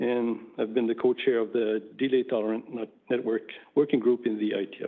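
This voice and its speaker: A man in a French-Canadian accent speaks at a medium pitch and moderate pace with fairly even intonation. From Quebec. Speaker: network engineer presenting at a conference. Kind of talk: conference talk. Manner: hesitant, many fillers.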